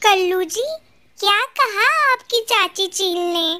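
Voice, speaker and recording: A female-sounding cartoonish character voice, squeaky and extremely high-pitched, speaks at a very slow pace. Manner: sly, persuasive.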